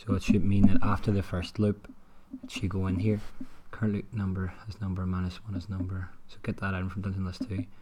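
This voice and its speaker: At a fairly quick pace, a man talks in a fairly low, somewhat breathy, monotone and flat voice with big swings in loudness. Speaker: indie game developer. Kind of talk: screen-recorded development commentary.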